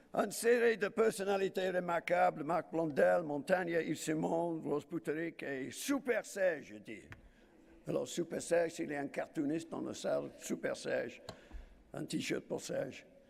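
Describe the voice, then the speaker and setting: A man talks at a fairly slow pace in a high voice. His intonation is lively. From Wales. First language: English (speaking French). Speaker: trade union leader. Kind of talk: conference speech. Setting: stage with audience. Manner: halting, with fillers.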